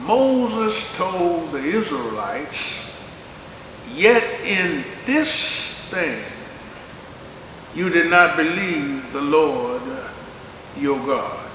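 Light background noise and audible room echo around a man speaking at a very slow pace. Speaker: preacher. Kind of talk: sermon. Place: church.

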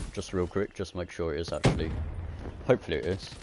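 The sound is dry with no echo, though noticeable background noise runs underneath. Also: man. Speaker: gaming YouTuber. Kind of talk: casual gameplay livestream chat. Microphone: headset.

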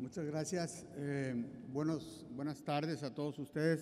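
A man speaks with fairly even intonation. Light background noise sits behind him. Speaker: session co-chair; conference presenter. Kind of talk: conference panel moderation. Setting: conference room with audience. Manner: halting. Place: hall. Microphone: podium.

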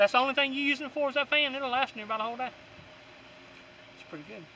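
A man's raised, projected voice comes through dry with no echo, over light background noise. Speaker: product reviewer. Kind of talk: casual product review. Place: open country.

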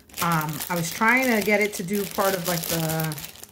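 A woman talks at a fairly slow pace amid noticeable background noise. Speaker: amateur crafter vlogger. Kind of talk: casual vlog chat. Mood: playful, self-deprecating. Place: kitchen. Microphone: phone near.

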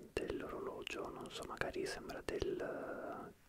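A man whispers at a very slow pace. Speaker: ASMR creator. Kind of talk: soft casual ASMR chat. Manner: soft close-mic ASMR murmur. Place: home room. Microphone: studio mic.

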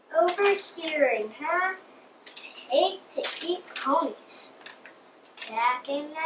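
This is a cartoonish character voice with a high pitch. It moves at a very slow pace with long, frequent pauses. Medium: puppet show. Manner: sad, wistful.

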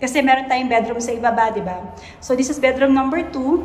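A woman speaks with a high pitch. Audible room echo follows her voice.

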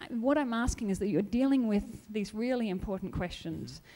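In an Australian accent, a woman speaks at a fairly quick pace with a fairly high pitch. Her tone is dark and mellow, and her pitch variation is ordinary. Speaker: audience member. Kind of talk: audience Q&A. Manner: animated.

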